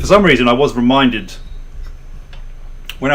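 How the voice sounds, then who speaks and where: At a fairly quick pace, a man talks with a medium pitch and ordinary pitch variation. Noticeable background noise and audible room echo come through. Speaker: book club livestream host. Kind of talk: casual chat, anecdote on livestream. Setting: livestream. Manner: halting, repeated false starts.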